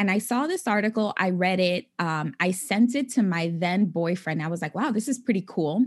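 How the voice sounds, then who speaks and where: A woman with an American accent speaks in a normal speaking voice at medium pitch and a moderate pace. Her intonation is lively, with hardly any pauses. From New York City (the Bronx). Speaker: financial coach. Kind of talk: interview.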